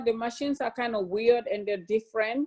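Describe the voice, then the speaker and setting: A woman with a non-native accent speaks with lively intonation. The sound is dry and close with no echo. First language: not English. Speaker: study group member. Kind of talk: casual discussion. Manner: halting, many fillers.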